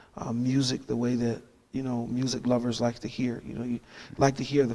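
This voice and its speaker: In a monotone, flat intonation, a man talks at a medium pitch. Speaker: pastor and gospel singer. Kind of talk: casual interview. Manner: halting, many fillers.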